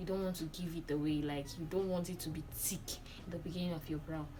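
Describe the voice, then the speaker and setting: The intonation is monotone and flat, with audible room echo around the voice. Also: woman. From Nigeria. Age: 20s. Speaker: beauty vlogger. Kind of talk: tutorial.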